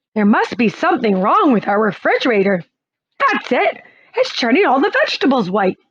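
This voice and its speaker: The speaker uses a put-on character voice with very wide pitch swings at a fairly quick pace. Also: woman, high pitch for a woman. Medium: read story. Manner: hesitant, easygoing.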